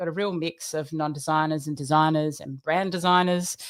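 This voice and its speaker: A woman in an Australian accent, animated in tone, fairly low in pitch, at a moderate pace. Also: quiet background. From Australia, Queensland. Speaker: design trainer; presenter, design trainer. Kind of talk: presentation. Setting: live stream. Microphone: webcam.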